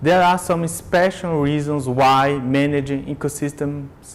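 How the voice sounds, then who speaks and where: A man speaks with a Brazilian Portuguese accent. His pitch is fairly high. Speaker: business lecturer. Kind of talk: lecture.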